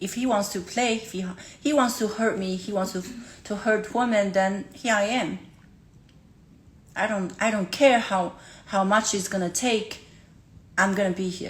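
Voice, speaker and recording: Somewhat breathy speech at a moderate pace, with fairly even intonation and long, frequent pauses. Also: woman, medium pitch for a woman. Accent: Chinese. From China. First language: Chinese. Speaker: livestreamer. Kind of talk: emotional livestream talk. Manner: halting.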